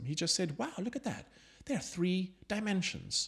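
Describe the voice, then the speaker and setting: A man speaks at a moderate pace with very wide pitch swings and vocal fry, on a very clean recording with a silent background. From South Africa. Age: 50s. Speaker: creativity speaker and poet. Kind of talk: interview conversation.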